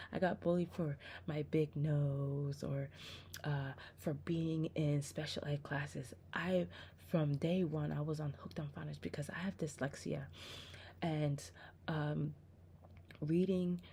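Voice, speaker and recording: A soft-spoken woman with a very deep, low pitch and a dark, mellow tone talks at a fairly slow pace, somewhat breathy, with lively intonation and long, frequent pauses. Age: 30s. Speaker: religious vlogger. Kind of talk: testimony. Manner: halting.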